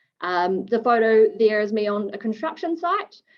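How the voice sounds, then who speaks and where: Speaking at a moderate pace, a woman talks with a New Zealand accent. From New Zealand, Wellington. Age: 20s. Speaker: fire engineer. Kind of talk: webinar presentation. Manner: casual, hesitant with many fillers.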